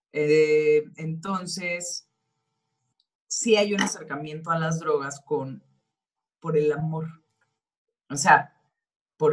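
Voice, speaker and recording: A very deep, low-pitched woman's voice in a Mexican accent, fairly even in intonation and at a very slow pace. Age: 40s. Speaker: actress. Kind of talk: interview.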